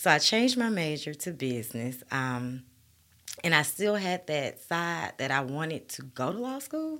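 A woman with an Alabama accent, very deep and low in pitch, bright and sharp in tone, with very wide pitch swings and a moderate pace. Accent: US Southern, Alabama. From Birmingham, Alabama. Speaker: guest. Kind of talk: casual interview chat.

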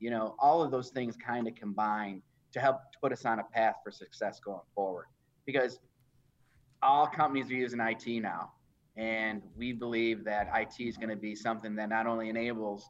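At a fairly quick pace, a man with a plain, everyday voice speaks at medium pitch with fairly even intonation over a quiet background. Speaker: chief information officer. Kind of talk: live interview. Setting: video call livestream.

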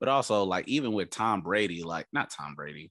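Against a quiet background, a man speaks at a moderate pace in a bright, sharp tone with vocal fry. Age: 30s. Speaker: sports podcast host. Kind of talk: casual chat.

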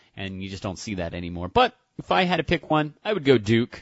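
With a plain, everyday voice, a man talks at a moderate pace and a medium pitch. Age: 30s. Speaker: radio co-host. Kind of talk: casual sports talk.

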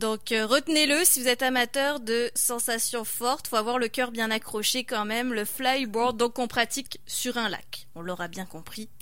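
A woman's high, bright, sharp voice at a fairly slow pace, with ordinary pitch variation. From France. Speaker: radio host. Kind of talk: radio magazine interview.

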